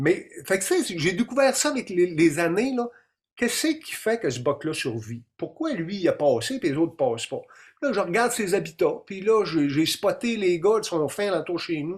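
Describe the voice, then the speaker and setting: With a Quebec accent, a man speaks at a moderate pace in a high voice with very wide pitch swings, on a very clean recording with a silent background. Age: 50s. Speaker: deer hunting expert and documentary maker. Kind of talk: interview on a live stream. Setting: live stream.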